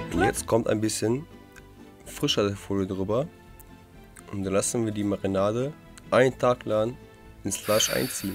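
With music playing in the background, a man speaks at a fairly low pitch with ordinary pitch variation. He takes long, frequent pauses. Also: moderate pace. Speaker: cooking show host. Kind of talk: voice-over narration re-recorded in post. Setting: studio microphone. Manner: sarcastic, joking.

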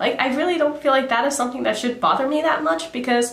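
Room echo is audible as a woman speaks in a high pitch. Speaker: beauty vlogger. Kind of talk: casual vlog chat. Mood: chatty, lightly amused. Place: home room.

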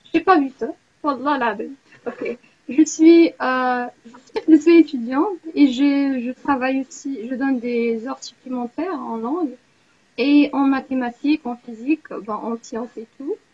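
A woman with an Arabic accent speaks at a fairly slow pace and high pitch, her pitch varying in an ordinary way while her loudness swings widely. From Morocco. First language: Arabic (speaking French). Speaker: university student, language exchange participant; tutor leading a language exchange. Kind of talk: casual online group chat, self-introduction. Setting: video call. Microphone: video call.

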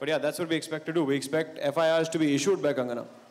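This man speaks with a fairly high pitch. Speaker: streaming platform executive. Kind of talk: press event speech. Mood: playful, joking. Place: stage. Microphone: handheld.

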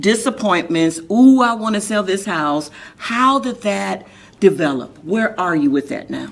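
Her pitch swinging very widely, a woman speaks in an animated tone at a fairly slow pace. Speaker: talk show host. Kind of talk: interview. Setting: studio. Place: studio.

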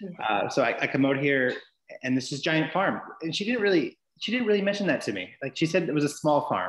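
Audible room echo surrounds a man speaking at a fairly quick pace. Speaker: guest. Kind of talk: interview answer. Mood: friendly, laughing storyteller. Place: home room. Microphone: video call.

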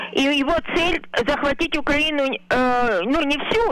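A man's high-pitched voice, with a dry sound and no echo. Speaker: caller. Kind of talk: call-in opinion. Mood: grave, pessimistic. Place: home room. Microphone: video call.

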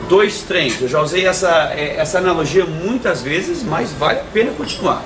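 Through noticeable background noise, a man can be heard talking at a moderate pace. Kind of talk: casual talk to camera. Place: cafe.

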